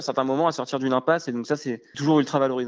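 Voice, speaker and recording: The speaker is a man. His pitch sits fairly high. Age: 20s. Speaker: startup co-founder. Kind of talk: interview. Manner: hesitant, filler words.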